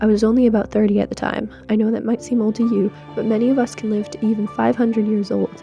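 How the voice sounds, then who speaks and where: A woman talks fairly quickly while music runs in the background. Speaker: student. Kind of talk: first-person story narration as a tree. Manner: fast. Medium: read story.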